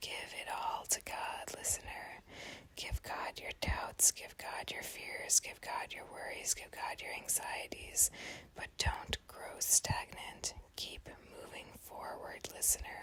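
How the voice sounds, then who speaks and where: Whispering in a calm tone at a very slow pace, the speaker is heard over noticeable background noise. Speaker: prayer ASMR channel host. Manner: whispered, soft, calm.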